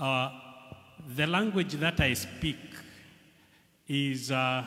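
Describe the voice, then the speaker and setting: A man with a Kenyan accent talks at a very slow pace with ordinary pitch variation. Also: fairly high pitch for a man. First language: Kikuyu. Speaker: language researcher. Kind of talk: festival speech. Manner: halting.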